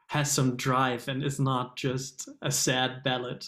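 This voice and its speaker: Speaking with a German accent, a man keeps a medium pitch in a monotone, flat intonation. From Germany. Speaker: singer-songwriter. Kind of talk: interview. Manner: hesitant, many fillers.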